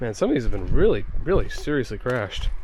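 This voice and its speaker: Audible room echo and noticeable background noise fill the recording. Through them comes a man with an American accent. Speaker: car vlogger. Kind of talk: casual travel vlog commentary. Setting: outdoors at a junkyard.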